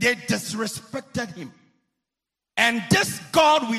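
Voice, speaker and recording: Over music in the background, a man speaks at an extremely high pitch in a raised, projected voice. His tone is animated, with very wide pitch swings. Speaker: preacher. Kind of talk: sermon at a revival campaign. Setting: church hall with live audience, also streamed online.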